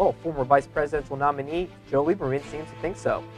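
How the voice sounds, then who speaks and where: A man rattles off his words very fast. Behind him, music is playing. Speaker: TV news anchor / reporter. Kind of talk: TV news anchor reel.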